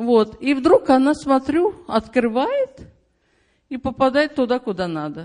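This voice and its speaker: The speech moves at a very slow pace, broken by long, frequent pauses, with very wide pitch swings. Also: woman, high pitch for a woman. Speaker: church member giving testimony. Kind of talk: testimony. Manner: chatty.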